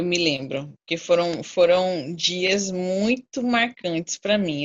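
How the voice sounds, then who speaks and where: A woman speaks in a normal speaking voice. Her pitch is fairly low, with ordinary variation. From Brazil, Cuiabá, Mato Grosso. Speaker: infectious disease doctor. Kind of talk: casual chat.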